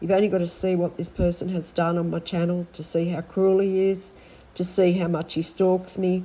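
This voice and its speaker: A woman with an Australian accent, fairly low in pitch, dark and mellow in tone, monotone and flat, at a moderate pace. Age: 60s. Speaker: vlogger. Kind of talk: personal complaint vlog. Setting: at home. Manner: halting.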